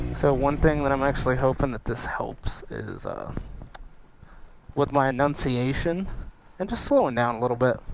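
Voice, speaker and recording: A man mumbles at a fairly slow pace with ordinary pitch variation over noticeable background noise. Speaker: motorcycle vlogger. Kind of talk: casual motovlog commentary. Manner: mumbling.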